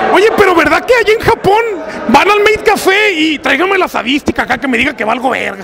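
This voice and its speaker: A raised, projected voice makes very wide pitch swings over noticeable background noise. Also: man, extremely high pitch for a man. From Mexico, Sinaloa (Guasave). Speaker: convention emcee and YouTuber. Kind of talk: casual roaming interviews. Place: street. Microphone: handheld.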